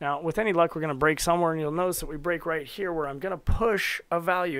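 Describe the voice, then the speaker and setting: Speaking very fast, a man delivers his words. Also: very clean recording, silent background. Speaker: reverse engineering streamer. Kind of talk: live-streamed tutorial. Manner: casual.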